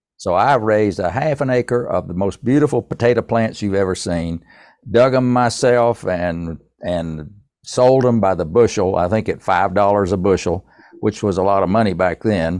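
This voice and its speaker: A man with a Tennessee accent, fairly low pitch, ordinary pitch variation and a moderate pace, against a quiet background. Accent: Southern US (Tennessee). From US South, East Tennessee. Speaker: songwriter and entrepreneur. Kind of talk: interview.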